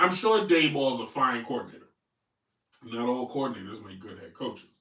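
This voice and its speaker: With a bright, sharp tone and big swings in loudness, a man speaks at medium pitch in an animated tone and lively intonation. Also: fairly quick pace. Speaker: sports commentator. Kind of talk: live sports talk show.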